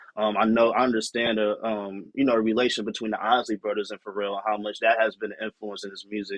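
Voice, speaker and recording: He has an ordinary speaking voice, pitched fairly low. The man talks at a fairly quick pace. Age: 20s. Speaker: music producer and artist. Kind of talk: casual podcast chat.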